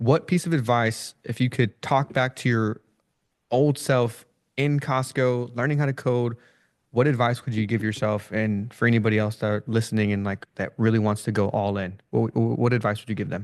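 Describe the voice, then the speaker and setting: Against a quiet background, a man speaks in an ordinary speaking voice at a moderate pace. His pitch is medium, with ordinary variation. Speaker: interview host. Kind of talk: interview.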